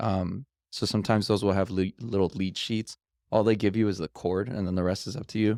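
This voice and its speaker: A man with a plain, everyday voice talks at a fairly quick pace and a fairly low pitch with an American accent and fairly even intonation. The sound is dry and close with no echo, on a very clean recording with a silent background. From Los Angeles, US. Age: 30s. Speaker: pianist. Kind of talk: casual chat.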